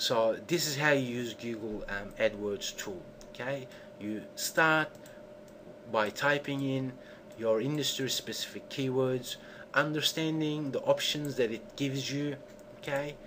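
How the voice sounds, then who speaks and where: Pitched fairly high with ordinary variation, a man speaks at a fairly slow pace with long, frequent pauses. Noticeable background noise runs underneath. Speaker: SEO tutorial presenter. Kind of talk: tutorial. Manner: animated.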